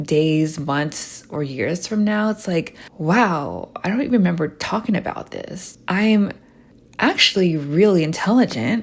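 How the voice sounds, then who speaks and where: Soft-spoken and fairly low-pitched, a woman talks at a fairly slow pace with lively intonation. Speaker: lifestyle vlogger. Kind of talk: casual monologue. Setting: voice memo recording.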